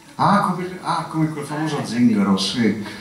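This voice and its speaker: Lively intonation at a moderate pace, with audible room echo and light background noise. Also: man. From a Celtic country. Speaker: linguistics professor. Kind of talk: public talk at science café. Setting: live audience.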